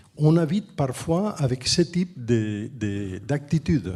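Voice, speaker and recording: This man has a fairly high pitch. His voice is somewhat breathy with a dark, mellow tone. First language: Catalan or Spanish (speaking French). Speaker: architect and urban planner, professor. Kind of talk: panel discussion. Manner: halting, with frequent restarts.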